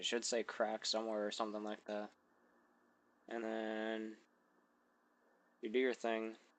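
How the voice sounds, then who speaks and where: The speaker is quiet and fairly slow, with monotone, flat intonation and long, frequent pauses. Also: man, medium pitch for a man. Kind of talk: software tutorial narration. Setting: mic placed far from mouth.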